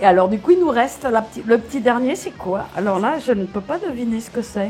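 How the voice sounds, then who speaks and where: Over background music, a woman talks at a fairly quick pace with hardly any pauses, her fairly high voice showing big swings in loudness. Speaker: voice actor. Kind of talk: casual talk to camera. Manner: playful, upbeat.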